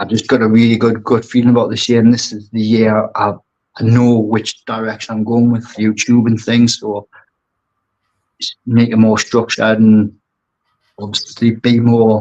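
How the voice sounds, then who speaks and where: With a strong Geordie accent, a man speaks at a moderate pace. His intonation is monotone and flat. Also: medium pitch for a man. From northeast England, Newcastle. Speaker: aquascaper and brand ambassador. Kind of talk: podcast interview.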